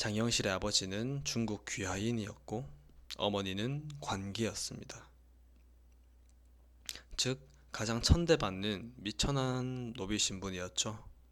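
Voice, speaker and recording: A man with a fairly low pitch talks very slowly and calmly, using ordinary pitch variation and long, frequent pauses. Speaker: audiobook reader, sleep-ASMR narrator. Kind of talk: sleep-aid audiobook reading, calm late-night narration. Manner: soft, calm, slow.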